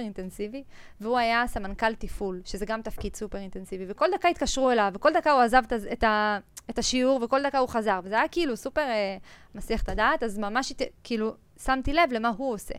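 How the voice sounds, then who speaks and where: An unremarkable speaking voice at a fairly quick pace with ordinary pitch variation, on a very clean recording with a silent background. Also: woman. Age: 20s. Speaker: entrepreneur, energy company CEO. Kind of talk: casual interview.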